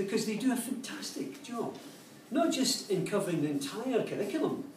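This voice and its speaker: A man with a Glaswegian accent talks at a fairly quick pace, his pitch swinging very widely. Noticeable background noise and audible room echo surround him. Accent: Glaswegian Scottish. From Scotland, Glasgow. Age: 60s. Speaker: educator and speaker. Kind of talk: public talk. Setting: cafe talk with live audience.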